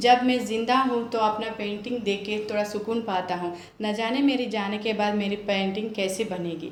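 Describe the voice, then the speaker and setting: With a Telangana accent, a woman with a fairly high pitch talks with hardly any pauses and fairly even intonation, in audible room echo with noticeable background noise. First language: Telugu (speaking Hindi). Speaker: homemaker, storytelling contestant. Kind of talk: storytelling.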